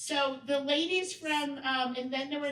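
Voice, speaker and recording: A woman speaks loudly in a high voice. The room echo is audible. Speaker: workshop presenter. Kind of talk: training workshop talk. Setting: event room with audience.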